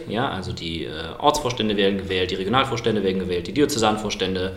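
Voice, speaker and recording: Speech with a slight Cologne accent comes at a fairly quick pace, with audible room echo and noticeable background noise. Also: man. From Germany, Cologne. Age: 20s. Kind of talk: podcast debate.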